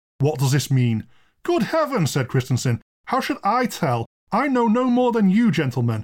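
A man's voice swings very widely in pitch, captured in a very clean recording against a silent background. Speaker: podcast host and storyteller. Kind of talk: ghost story reading aloud, dramatic narration with character dialogue.

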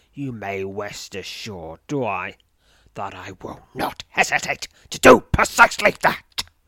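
A put-on character voice from a man, fairly low-pitched, raspy, hissing and shaky, with a menacing tone at a fairly slow pace, on a very clean recording against a silent background. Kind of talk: archaic, formal.

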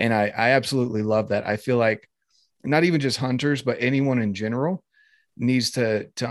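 A man speaks in an ordinary speaking voice at a medium pitch and moderate pace. His intonation is fairly even, and the background is quiet. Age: 20s. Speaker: outdoors podcast host. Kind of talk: casual interview chat.

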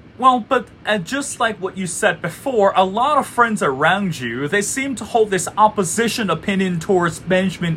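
Lively intonation in a Chinese accent at a moderate pace, over noticeable background noise. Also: man. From China, Beijing. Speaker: podcast host. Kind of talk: interview.

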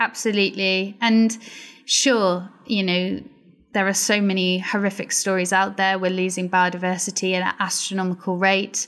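A woman with a Welsh accent speaks at a moderate pace and medium pitch, her intonation flat and monotone and her loudness very even, on a very clean recording with a silent background. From Wales, Pembrokeshire. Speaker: marine biologist. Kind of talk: interview conversation.

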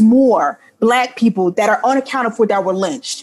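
Hers is an ordinary speaking voice, a woman's with an American accent, fairly high in pitch and showing ordinary pitch variation. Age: 20s. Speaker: author and editor. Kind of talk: interview.

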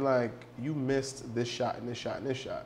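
Someone speaks at a fairly quick pace in an American accent. Noticeable background noise runs under the voice. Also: man. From New York City. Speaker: behavioral psychology consultant. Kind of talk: casual chat.

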